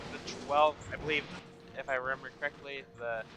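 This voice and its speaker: A man is heard talking amid noticeable background noise. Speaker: video game let's player. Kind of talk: casual gameplay commentary.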